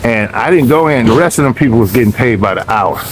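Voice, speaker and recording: Noticeable background noise sits behind this recording. The speaker is a man with a medium pitch. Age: 60s. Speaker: vlogger. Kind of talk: casual vlog chat. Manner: animated.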